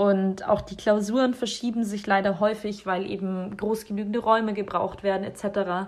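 Her pitch is medium and her intonation monotone and flat. This woman keeps a moderate pace with hardly any pauses. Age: 20s. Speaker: medical student. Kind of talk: personal account.

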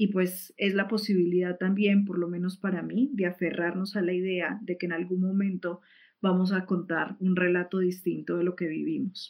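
The woman's intonation is monotone and flat. She speaks at medium pitch and a moderate pace. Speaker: activist. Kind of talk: online talk. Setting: livestream. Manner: hesitant, many fillers.

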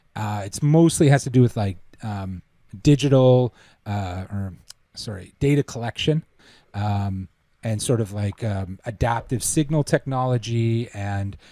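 A man with a Canadian accent speaks at a moderate pace, his fairly low pitch rising and falling in an ordinary way. The recording is very clean, with a silent background. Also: dry, close sound with no echo. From Canada. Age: 30s. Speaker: traffic engineer and musician. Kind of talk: casual interview conversation.

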